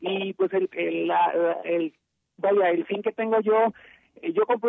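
A man with a high pitch and lively intonation. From Mexico. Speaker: rock musician. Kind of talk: radio interview. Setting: phone call.

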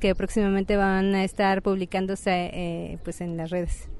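A woman's voice against a quiet background. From Mexico, State of Mexico. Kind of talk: interview. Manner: halting.

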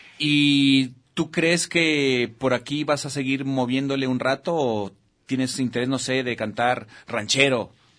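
A man at a medium pitch, talking at a very slow pace. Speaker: TV show host. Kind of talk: casual chat. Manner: animated.

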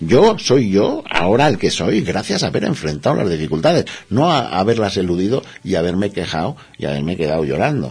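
Noticeable background noise behind a man with a fairly low pitch and very wide pitch swings. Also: fairly quick pace. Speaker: alchemy therapist. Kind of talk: interview.

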